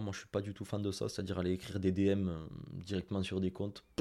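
Fairly quick in pace, a man's voice sits at a fairly low pitch. Nothing is heard behind it in this very clean recording with a silent background. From France, Toulouse. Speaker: Instagram marketing consultant and trainer. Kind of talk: interview. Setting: video studio.

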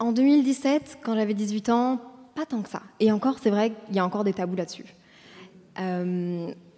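Speaking at a moderate pace with long, frequent pauses, a woman uses a fairly high pitch and ordinary pitch variation. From Brussels, Belgium. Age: 20s. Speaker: content creator and podcaster. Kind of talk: interview on stage. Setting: stage with audience.

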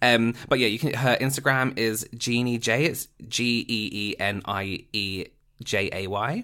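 The tone is bright and sharp as a man speaks at a medium pitch with ordinary variation. He goes at a fairly slow pace, and the recording is very clean with a silent background. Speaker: podcast co-host. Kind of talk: casual chat.

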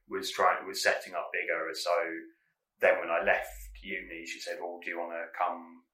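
A man talks at a moderate pace, and room echo can be heard around him. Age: 30s. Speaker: comedy producer. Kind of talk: casual interview. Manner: quiet; calm.

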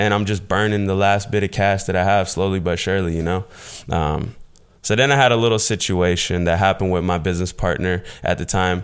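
This man's voice is very deep and low, moving at a fairly quick pace with fairly even intonation on a very clean recording with a silent background. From US South, southwest Florida. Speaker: YouTuber and e-commerce entrepreneur. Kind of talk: casual interview chat.

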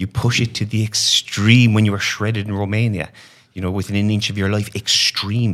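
A man with an Irish accent speaks at a fairly quick pace and a fairly low pitch, his intonation monotone and flat. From Ireland. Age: 30s. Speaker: online fitness coach, former banker. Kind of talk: casual interview chat.

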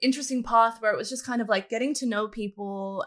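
A woman with a fairly high pitch speaks in an Australian accent with a bright, sharp tone. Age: 20s. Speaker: esports content creator. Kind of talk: casual chat.

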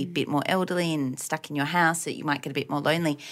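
Talking at a very fast pace, a woman with an Australian accent speaks in a very deep, low pitch. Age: 30s. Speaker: podcast co-host. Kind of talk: casual chat.

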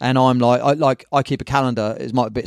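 A man speaks very fast with a southern English accent. The sound is dry and close with no echo. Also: very clean recording, silent background. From southern England, Brighton. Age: 50s. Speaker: surf magazine publisher and surf shop owner. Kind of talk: casual chat.

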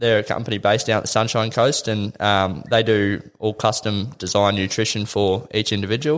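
In a very clean recording with a silent background, a man with an Australian accent speaks at a moderate pace, fairly low in pitch, with fairly even intonation. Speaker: triathlete. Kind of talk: interview. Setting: studio.

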